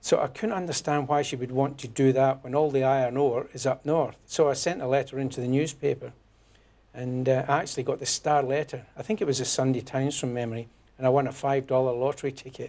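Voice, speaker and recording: A man with a Scottish accent speaks at a very fast pace and medium pitch, keeping fairly even intonation. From Scotland, near Glasgow. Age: 60s. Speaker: newly elected politician, former electrician. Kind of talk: interview. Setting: studio.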